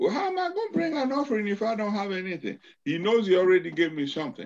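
Intonation rises and falls in a lively way. The delivery comes quickly. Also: man, high pitch for a man.

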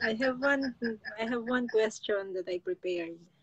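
The pace is very slow. The speaker is a woman. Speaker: vlogger on a live stream. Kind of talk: casual live stream chat. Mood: relaxed, laughing. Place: home room. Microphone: phone near.

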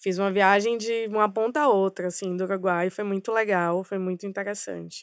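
Dry sound with no echo, a quiet background, a moderate pace and fairly even intonation. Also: woman. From Bahia, Brazil (Salvador metro area); Bahia, Brazil. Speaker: advertising strategy director; podcast guest. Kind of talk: podcast interview. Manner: halting, many fillers. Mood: reflective, personal. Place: studio. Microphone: studio mic.

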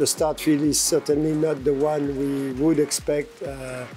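A man's voice with faint music in the background. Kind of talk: interview answer. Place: waterside.

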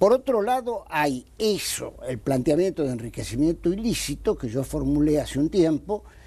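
With an Argentine accent, a man speaks in a fairly high pitch with a dark, mellow tone. His pitch swings very widely. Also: moderate pace, hardly any pauses. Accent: Argentine Spanish (Rioplatense). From Argentina. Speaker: anti-corruption lawyer. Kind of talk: TV interview. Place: studio. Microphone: lapel.

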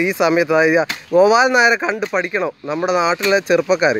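Ordinary pitch variation marks this man's voice, recorded with a dry sound with no echo and light background noise. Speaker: local vlogger / commentator. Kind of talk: casual talk to camera, enthusiastic street-style commentary. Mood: admiring, exhorting. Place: farm machine. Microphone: phone near.

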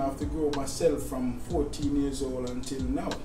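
A man's monotone, flat delivery at a moderate pace, over noticeable background noise. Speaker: guest. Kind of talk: interview answer. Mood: reflective about hard childhood. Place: kitchen.

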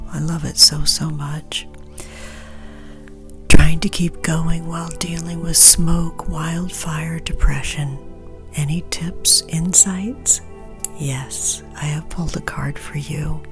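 A woman's very slow speech with long, frequent pauses, over clear background music. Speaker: witch, tarot reader. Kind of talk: ASMR Q&A, answering viewer questions. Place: home room.

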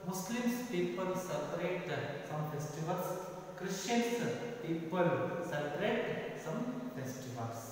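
A man talks at a fairly slow pace amid strong room echo and light background noise. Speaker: school teacher. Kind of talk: lecture. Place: classroom. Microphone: camera far.

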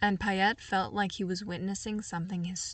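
A reading voice. It sounds unforced.

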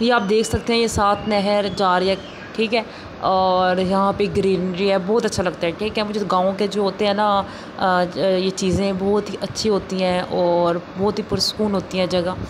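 Amid noticeable background noise, a woman talks at a moderate pace in a monotone, flat intonation with very even loudness. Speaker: vlogger. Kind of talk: casual vlog chat. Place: car. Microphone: phone near.

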